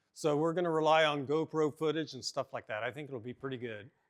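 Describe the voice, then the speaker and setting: A man with a Californian accent speaks at a fairly quick pace in a fairly high pitch, on a very clean recording with a silent background. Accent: California accent, mocked by viewers. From Oklahoma. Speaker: car builder and show host. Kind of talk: casual chat while working in a shop.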